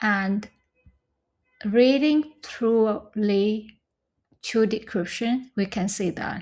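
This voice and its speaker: A woman with a Vietnamese accent speaks at a very slow pace with long, frequent pauses. Her fairly high voice is somewhat breathy, with ordinary pitch variation. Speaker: scholarship recipient. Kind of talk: casual tutorial talk to camera.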